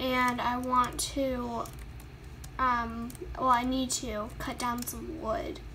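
Speaking at a very slow pace with long, frequent pauses, a woman with a high pitch keeps a fairly even intonation amid noticeable background noise. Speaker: gaming YouTuber. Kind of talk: casual gameplay commentary. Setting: recorded gameplay voiceover. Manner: casual, filler-heavy, chatty.

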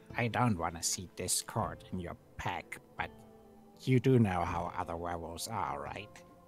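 Over clear background music, a man uses a put-on character voice pitched very deep and low, talking at a moderate pace. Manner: warm, conspiratorial, soothing.

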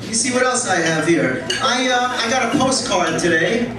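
A man speaks at a moderate pace, and the recording carries audible room echo along with noticeable background noise. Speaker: stand-up comedian. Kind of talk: stand-up comedy set with profanity and crowd work. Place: stage.

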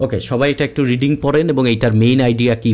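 This man speaks at a medium pitch with a Bengali accent. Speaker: exam prep tutor. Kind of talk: webinar lecture. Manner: conversational.

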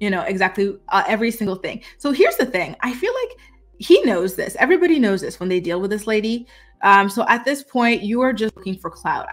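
Faint music plays behind a woman who speaks at a very fast pace. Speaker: commentary vlogger. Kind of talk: casual commentary. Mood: opinionated, gossipy. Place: home room. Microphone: webcam.

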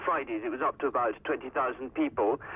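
This is a man talking. His pace is fairly quick. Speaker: news correspondent. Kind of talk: news report by phone. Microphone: phone line.

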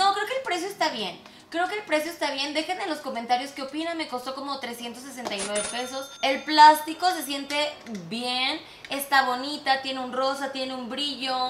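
Over light background noise and audible room echo, a woman speaks at a moderate pace in a high pitch with ordinary pitch variation. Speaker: beauty product reviewer. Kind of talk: casual vlog chat. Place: studio.

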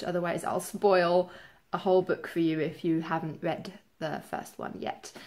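Her pace is moderate. The voice belongs to a woman. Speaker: book vlogger. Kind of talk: casual vlog chat. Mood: relaxed, expressive. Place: home room.

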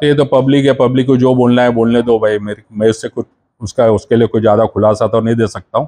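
Fairly even intonation from a man, delivered at a moderate pace. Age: 60s. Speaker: convicted former defendant, now retired; interviewee. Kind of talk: news interview; interview answer. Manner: halting. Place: home room. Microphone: handheld.

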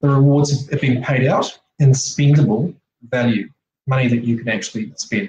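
A somewhat breathy man's voice at medium pitch and moderate pace, with ordinary pitch variation, light background noise and audible room echo. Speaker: presenter. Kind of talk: online slide presentation. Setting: video call. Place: home room. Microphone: webcam.

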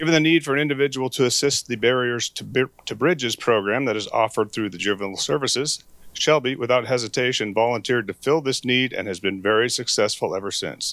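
A man at a very fast pace, hardly any pauses, ordinary pitch variation, a quiet background and a dry sound with no echo. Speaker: county official presenting award. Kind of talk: reading aloud. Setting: public meeting. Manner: formal. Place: meeting room. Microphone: handheld.

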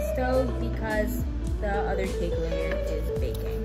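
Loud music plays in the background. Over it, a woman speaks at a fairly slow pace. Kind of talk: tutorial. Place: kitchen. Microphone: phone near.

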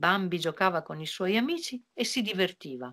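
A woman speaks at a moderate pace with lively intonation and a fairly bright tone.

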